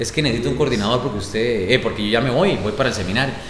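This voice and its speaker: A man with a Costa Rican accent is heard with audible room echo and noticeable background noise. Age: 20s. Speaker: radio announcer and youth ministry coordinator. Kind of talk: casual interview chat. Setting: parish office room with small audience.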